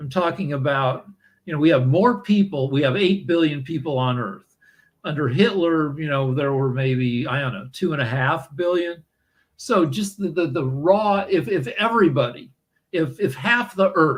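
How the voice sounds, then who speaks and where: A man with an American accent, fairly high-pitched for a man, somewhat breathy, with lively intonation. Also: moderate pace. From US Midwest, Missouri. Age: 60s. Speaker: podcast host. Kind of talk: casual chat. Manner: halting, many fillers and repetitions.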